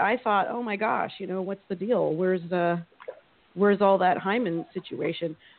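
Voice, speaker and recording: A woman talks at a moderate pace with a medium pitch. Hers is an ordinary speaking voice. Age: 40s. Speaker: actor and novelist. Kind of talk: casual talk radio chat.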